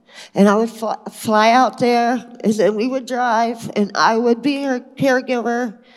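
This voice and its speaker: The speech moves at a fairly slow pace with fairly even intonation. Background noise is noticeable. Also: woman, fairly high pitch for a woman. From Kentucky. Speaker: spiritual retreat participant. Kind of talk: testimony.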